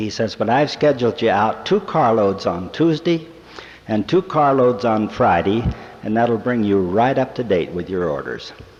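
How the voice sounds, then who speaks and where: Noticeable background noise sits behind a man who speaks at a moderate pace with a medium pitch and lively intonation. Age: 60s. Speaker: church speaker, businessman. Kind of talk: devotional talk to young people. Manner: folksy storytelling.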